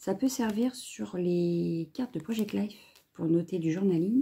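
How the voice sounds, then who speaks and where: Somewhat breathy, a woman's medium-pitched voice moves at a fairly slow pace with lively intonation. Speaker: crafting YouTuber; crafting vlogger. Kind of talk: video unboxing. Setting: home, filming at a table. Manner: casual, hesitant with many fillers. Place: home room. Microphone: phone near.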